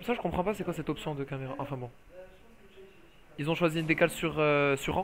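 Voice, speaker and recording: Talking at a very fast pace, a man with a fairly high pitch leaves long, frequent pauses. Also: ordinary pitch variation. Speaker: esports commentator. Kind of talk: live commentary. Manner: loud; animated.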